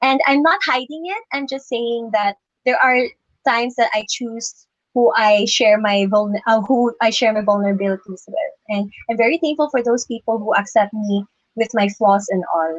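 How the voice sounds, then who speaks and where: A woman with an ordinary speaking voice talks at a moderate pace, fairly high in pitch with ordinary pitch variation. The sound is dry and close, with no echo. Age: 20s. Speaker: beauty pageant contestant. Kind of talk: interview answers. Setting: Facebook Live stream.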